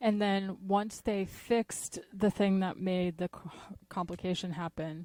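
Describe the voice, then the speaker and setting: Over a silent background in a very clean recording, a woman talks at a fairly slow pace with a dark, mellow tone, fairly even intonation, and a dry, close sound with no echo. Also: medium pitch for a woman. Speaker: podcast co-host. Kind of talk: casual chat.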